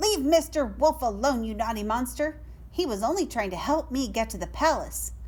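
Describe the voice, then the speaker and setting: A put-on character voice at a fairly high pitch moves at a moderate pace. Background noise is noticeable. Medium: read story. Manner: sweet, polite.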